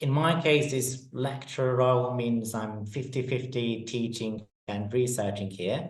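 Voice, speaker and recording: Speaking in a somewhat breathy way with a Polish accent, a man keeps a medium pitch and ordinary pitch variation. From Poland. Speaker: neuroscience lecturer. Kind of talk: webinar presentation.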